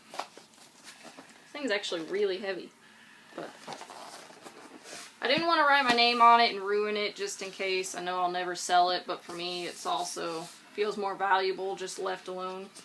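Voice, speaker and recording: A quiet woman at a moderate pace, with ordinary pitch variation, long and frequent pauses, and big swings in loudness, over noticeable background noise. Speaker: book vlogger. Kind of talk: casual vlog talk to camera. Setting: home, recorded on iPad.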